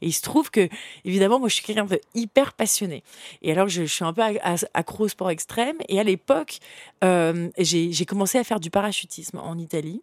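The recording is very clean, with a silent background and a dry, close sound with no echo. A woman speaks at a medium pitch and a moderate pace in an animated tone. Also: lively intonation. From France, Paris suburbs, partly Africa. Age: young. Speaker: entrepreneur. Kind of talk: interview.

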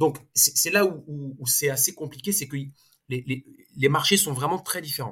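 A man talks somewhat slowly in a rather high register, his pitch shifting in a normal way. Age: 40s. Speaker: consultancy co-founder and economist. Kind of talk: interview. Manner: halting, many repetitions and fillers.

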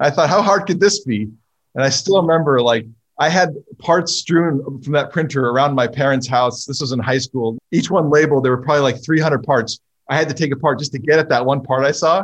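With an American accent, a man speaks fairly quickly in a fairly high, somewhat breathy voice with ordinary pitch variation. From California. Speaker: drone company co-founder and engineer. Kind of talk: casual interview.

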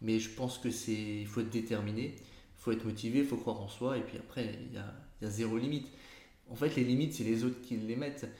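Delivered at a very fast pace, the voice has a dark, mellow tone and fairly even intonation, with audible room echo. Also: man, medium pitch for a man. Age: 30s. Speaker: entrepreneur. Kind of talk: interview. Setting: in his agency's office.

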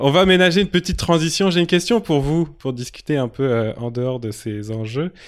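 With a slight Quebec accent, a man talks at a moderate pace. His intonation is lively. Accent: slight Quebec tinge on French. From Lille, northern France. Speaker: podcast host. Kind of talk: casual chat. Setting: remote recording.

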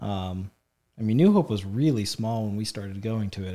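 On a very clean recording with a silent background, a man with an American accent and a plain, everyday voice speaks at a moderate pace and medium pitch. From Illinois, Effingham area. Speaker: church member sharing testimony. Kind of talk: testimony. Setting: studio.

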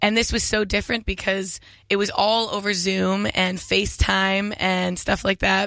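A woman with a bright, sharp tone speaks at a very slow pace in a monotone, flat way, recorded very cleanly over a silent background. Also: medium pitch for a woman, very even loudness. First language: English (speaking French). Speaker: singer-songwriter. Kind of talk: interview. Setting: studio.

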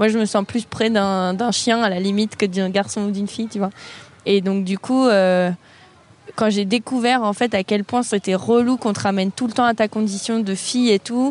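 The woman's pitch sits in the medium range. She speaks at a moderate pace with fairly even intonation. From France, Avignon. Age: 20s. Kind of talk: casual chat.

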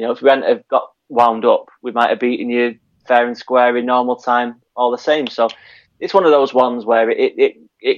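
The man speaks at a fairly quick pace. His intonation stays monotone and flat. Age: 30s. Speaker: football fan podcaster. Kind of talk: casual chat.

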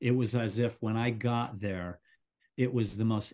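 A man with a normal speaking voice talks at a moderate pace with a medium pitch. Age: 60s. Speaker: high-altitude cameraman and mountaineer. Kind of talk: interview.

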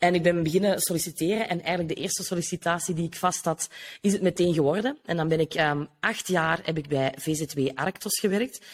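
A woman's fairly low voice with a Kempen accent. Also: ordinary pitch variation, fairly quick pace. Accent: Flemish (Kempen) Dutch. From Flanders, Belgium (Noorderkempen). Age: 30s. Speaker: business coach. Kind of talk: casual interview.

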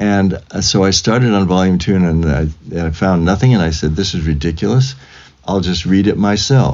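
A man with a very deep, low pitch talks at a moderate pace in a Californian accent, his pitch varying in an ordinary way. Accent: Californian American. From US West Coast (Fresno, California). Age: 70s. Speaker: composer. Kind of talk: interview.

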